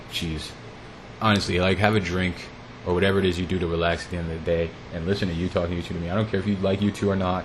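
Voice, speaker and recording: A man speaks in a very deep, low pitch with an American accent. His intonation is fairly even, and there is noticeable background noise. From United States. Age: 30s. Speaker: podcast host. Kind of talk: solo podcast monologue.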